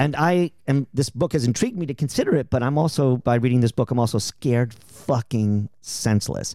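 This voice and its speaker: A man with an American accent speaks at medium pitch in a dark, mellow tone, at a fairly quick pace with hardly any pauses and ordinary pitch variation, in a dry, close sound with no echo. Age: 50s. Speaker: podcast host. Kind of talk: casual chat. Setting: in a home living room.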